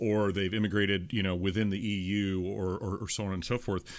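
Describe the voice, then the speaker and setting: Over a silent background in a very clean recording, a man uses a normal speaking voice, fairly low in pitch, at a moderate pace. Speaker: podcast host. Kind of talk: podcast interview talk.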